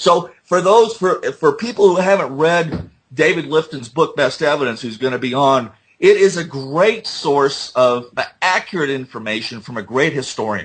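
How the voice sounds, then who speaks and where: A man with an American accent speaks in a fairly high, somewhat breathy voice with lively intonation. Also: moderate pace. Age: 60s. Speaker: JFK assassination researcher. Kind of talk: interview. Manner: halting, many fillers.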